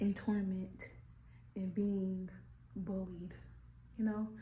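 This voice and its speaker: Soft-spoken, a woman talks at a very slow pace. Audible room echo hangs around her words. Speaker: vlogger. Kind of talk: casual vlog. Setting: new apartment.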